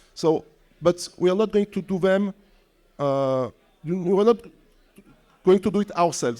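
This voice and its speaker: A man with a non-native accent speaks at a fairly quick pace and high pitch. His tone is dark and mellow, with ordinary pitch variation. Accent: non-native English accent, noticeable. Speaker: tech company executive. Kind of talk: panel discussion.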